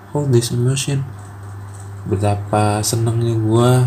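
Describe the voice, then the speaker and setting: Amid noticeable background noise and audible room echo, a man speaks very slowly at medium pitch with fairly even intonation. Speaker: solo podcaster. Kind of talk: personal monologue. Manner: halting, many pauses and fillers. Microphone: quiet recording.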